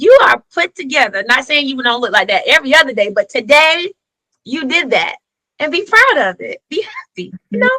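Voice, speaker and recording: A woman with a Southern US accent projects her voice at a high pitch in a bright, sharp, animated tone, with very wide pitch swings and big swings in loudness. She keeps a moderate pace, and the sound is dry and close with no echo. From US South. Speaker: educator and author. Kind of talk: podcast interview.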